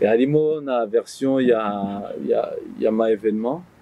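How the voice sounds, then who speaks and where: A man's voice over noticeable background noise. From France. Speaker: author and publisher. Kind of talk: interview.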